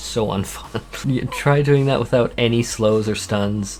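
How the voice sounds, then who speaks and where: Lively intonation marks a man speaking with a Canadian accent at a fairly slow pace. Noticeable background noise sits behind him. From Canada. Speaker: gaming YouTuber. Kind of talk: casual vlog monologue. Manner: stuttering.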